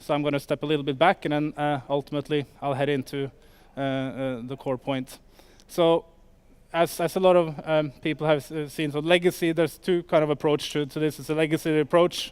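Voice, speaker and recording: A man with a Norwegian accent speaks at a fairly quick clip and a fairly high pitch. His intonation is flat and monotone. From Norway. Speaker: startup sales executive. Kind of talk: conference talk. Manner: halting, many fillers.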